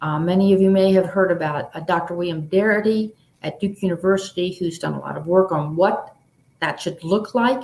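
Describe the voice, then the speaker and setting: In a normal speaking voice, a woman with an American accent speaks at a moderate pace, using a medium pitch and ordinary pitch variation. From Baltimore, US. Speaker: author. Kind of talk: panel discussion answer.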